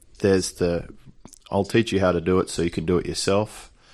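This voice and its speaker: Here a man speaks with an Australian accent. His pace is moderate. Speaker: online business coach. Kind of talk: interview. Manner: relaxed.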